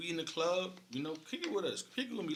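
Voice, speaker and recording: Over noticeable background noise, a man with an American accent speaks with lively intonation and a fairly high pitch. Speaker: DJ and radio interviewer. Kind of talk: casual chat.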